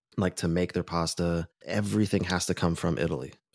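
A man with an American accent and ordinary pitch variation, in a very clean recording with a silent background and a dry, close sound without echo. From California, Orange County. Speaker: friend of the host, musician. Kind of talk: casual chat.

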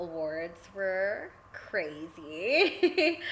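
Noticeable noise sits in the background. Over it, a woman talks. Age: 30s. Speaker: podcaster and pole dancer. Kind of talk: casual interview.

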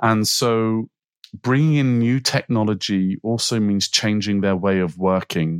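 A man with an unremarkable speaking voice talks at a fairly slow pace in a fairly low pitch, with very even loudness and ordinary pitch variation, in a dry, close sound with no echo on a very clean recording with a silent background. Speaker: sales director in life sciences. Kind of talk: podcast interview.

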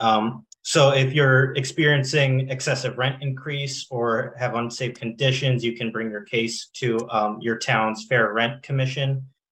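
A man at medium pitch, talking at a fairly slow pace. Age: 20s. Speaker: community college student and community organizer. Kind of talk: radio panel discussion. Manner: halting, many fillers and repeats.

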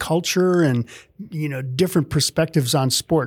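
The recording is very clean, with a silent background. A man uses a normal speaking voice, fairly high in pitch, with ordinary pitch variation. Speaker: podcast host. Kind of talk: podcast intro and interview.

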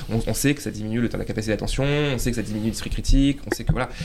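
Talking at a very fast pace, a man uses a medium pitch, ordinary pitch variation and vocal fry. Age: 30s. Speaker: journalist and panelist. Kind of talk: casual panel discussion.

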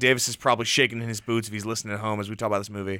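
This is a man's voice. The tone is bright and sharp. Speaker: college radio host. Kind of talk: casual chat. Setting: studio. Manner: loud.

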